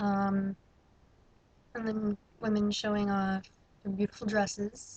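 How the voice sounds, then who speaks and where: Somewhat breathy, a woman's voice proceeds at a fairly slow pace. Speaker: vlogger. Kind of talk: casual vlog monologue. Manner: halting.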